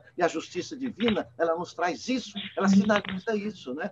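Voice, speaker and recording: Noticeable background noise around a man's high voice at a moderate pace. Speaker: spiritist lecturer. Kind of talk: lecture.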